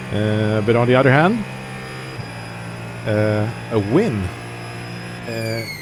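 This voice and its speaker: The speech comes at a very slow pace. Noticeable background noise sits behind it. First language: not English. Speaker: sim racing streamer. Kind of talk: live gameplay commentary. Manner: casual, thinking aloud.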